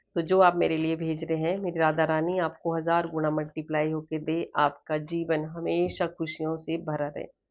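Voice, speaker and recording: A woman speaks with a very deep, low pitch at a fairly slow pace. She hardly pauses, and her intonation is monotone and flat. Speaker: tarot reader. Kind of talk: spiritual tarot reading.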